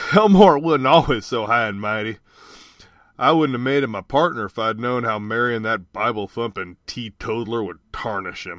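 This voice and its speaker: Using an ordinary speaking voice, a man speaks at a moderate pace and medium pitch with ordinary pitch variation. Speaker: voice actor. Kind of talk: reading aloud. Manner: folksy character voice.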